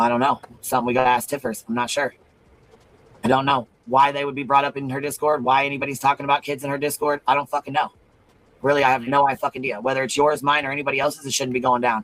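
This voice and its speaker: Here a man talks at a very fast pace. His pitch is fairly high, and the sound is dry and close with no echo. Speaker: live stream host. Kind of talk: heated discussion. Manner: animated.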